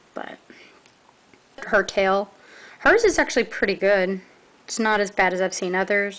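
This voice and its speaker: A woman in a Southern US accent speaks at a moderate pace with a medium pitch and ordinary pitch variation. She leaves long, frequent pauses. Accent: southern twang. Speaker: toy reviewer. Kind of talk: product review. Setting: filmed at home late at night. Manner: halting.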